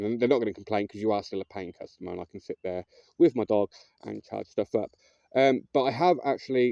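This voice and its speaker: In a dry, close sound with no echo, a man with a dark, mellow tone talks at a very fast pace in a medium pitch with ordinary pitch variation. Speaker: homeless man video diarist. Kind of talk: casual video diary monologue. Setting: outdoors, living in a tent. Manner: hesitant, many fillers.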